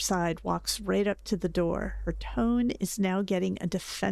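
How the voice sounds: Reading aloud in a voice that sounds natural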